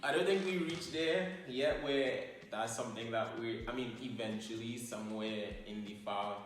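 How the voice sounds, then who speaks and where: With a strong Trinidadian accent, a man speaks fairly slowly at a medium pitch with lively intonation. Music plays in the background, and the room echo is audible. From Trinidad and Tobago. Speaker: YouTuber, couple channel co-host. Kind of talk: casual Q&A chat.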